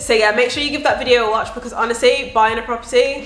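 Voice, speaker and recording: Over music in the background and audible room echo, a woman talks in an animated tone. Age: 20s. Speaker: property investor YouTuber. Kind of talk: casual explainer vlog.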